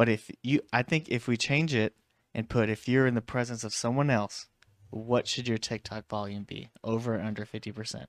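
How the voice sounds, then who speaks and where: A man with a normal speaking voice talks at a moderate pace and medium pitch with fairly even intonation, the sound dry and close with no echo in a very clean recording with a silent background. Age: 30s. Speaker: podcast co-host. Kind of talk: casual chat.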